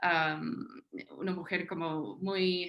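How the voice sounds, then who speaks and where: Her bright, sharp tone carries fairly even intonation as this woman talks. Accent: American. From US South, Tennessee, small town. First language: English (speaking Spanish). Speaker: historian, academic panelist. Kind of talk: panel talk, self-introduction. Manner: halting, many fillers.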